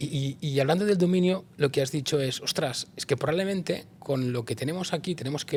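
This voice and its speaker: Fairly quick, somewhat breathy male speech with ordinary pitch variation. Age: 50s. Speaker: interviewer, people and organisation consultant. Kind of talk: interview conversation.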